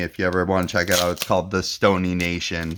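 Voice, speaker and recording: A man with a very deep, low pitch talks in a relaxed tone. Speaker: card pack opening youtuber. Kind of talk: casual chat while opening card packs. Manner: relaxed, hesitant with repeated words.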